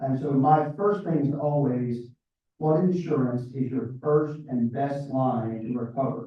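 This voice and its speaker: A man with an American accent speaks at a fairly slow pace and a fairly high pitch. His voice is somewhat breathy, with ordinary pitch variation. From US South, South Georgia. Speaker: floodplain consultant. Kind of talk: interview.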